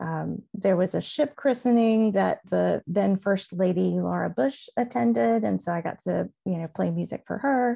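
A woman talks with a Southern US accent. She hardly pauses at all. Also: moderate pace. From Mississippi, US South. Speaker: music director and navy band veteran. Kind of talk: casual chat.

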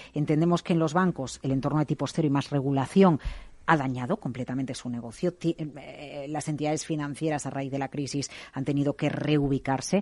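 A woman's very deep, low voice with fairly even intonation at a fairly quick pace, set against a quiet background. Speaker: radio host. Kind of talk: radio interview.

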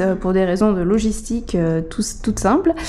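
Woman's voice, moderate in pace, ordinary pitch variation, noticeable background noise behind it. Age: 30s. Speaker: caterer and social entrepreneur. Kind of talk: interview. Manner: hesitant, many fillers.

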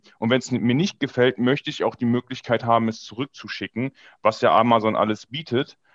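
Against a quiet background, a man uses a plain, everyday voice at medium pitch and a moderate pace, in a dry, close sound with no echo. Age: 20s. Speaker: e-commerce business coach. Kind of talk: casual chat.

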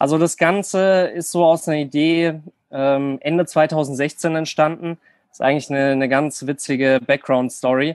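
Against a quiet background, a man with an ordinary speaking voice talks at a moderate pace in a fairly high voice, his intonation fairly even but his loudness swinging widely. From Germany, near Frankfurt. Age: 20s. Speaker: online fitness coach. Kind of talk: casual chat.

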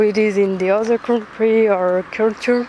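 Woman with a French accent and fairly high pitch, at a fairly slow pace over noticeable background noise. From France. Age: 20s. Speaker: student podcaster. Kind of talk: casual monologue. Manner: halting.

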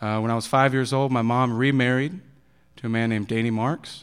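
A man's medium-pitched, fairly quick speech in an East Texas accent, fairly even in intonation, on a very clean recording with a silent background. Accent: East Texas Southern American. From Texas (Bowie County, near Texarkana). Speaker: recovering addict sharing his testimony. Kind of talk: testimony. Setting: church service in school auditorium.

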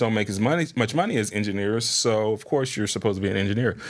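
The recording is very clean, with a silent background. A man with an ordinary speaking voice speaks at a fairly low pitch with fairly even intonation. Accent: American. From US Midwest, Springfield, Ohio. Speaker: firefighter and DJ. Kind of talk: casual interview chat. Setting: recording studio.

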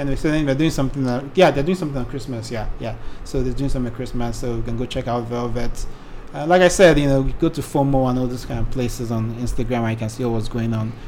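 A man talks at a very fast pace. Room echo is audible around his voice. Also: medium pitch for a man, ordinary pitch variation. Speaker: podcast co-host. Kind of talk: casual chat.

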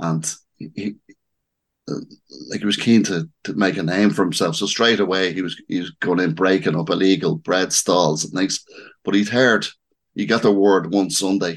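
With a Dublin accent, a man speaks at a moderate pace with ordinary pitch variation. His pitch is very deep and low. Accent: Dublin Irish. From Dublin, Ireland. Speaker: local historian and author. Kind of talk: interview.

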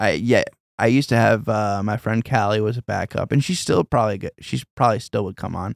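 Recorded very cleanly against a silent background, with a dry, close sound and no echo, a man with a normal speaking voice talks at a fairly quick pace, at a medium pitch with ordinary pitch variation. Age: 30s. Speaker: podcast host. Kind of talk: casual chat.

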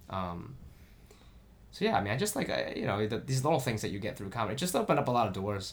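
Somewhat breathy speech races along at a very fast pace with lively intonation. It comes with an American accent. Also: man, medium pitch for a man. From US Midwest, Columbus, Ohio suburb. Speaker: stand-up comedian. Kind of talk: casual chat. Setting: home recording.

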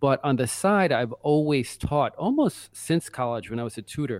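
In a very clean recording with a silent background and a dry, close sound with no echo, a man with an American accent speaks at a moderate pace in an unremarkable speaking voice, fairly high in pitch. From Brooklyn, New York. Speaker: author, writer. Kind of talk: casual interview.

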